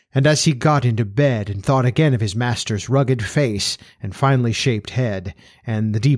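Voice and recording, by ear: A text is read aloud in a natural voice, its pitch varying in an ordinary way.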